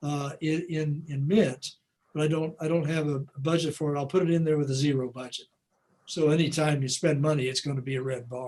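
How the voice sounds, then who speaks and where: The speech comes fairly quickly with fairly even intonation. There is a somewhat breathy quality to the voice. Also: man, fairly high pitch for a man. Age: 70s. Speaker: financial advisor presenter; presenter. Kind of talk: library workshop Q&A. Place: home room.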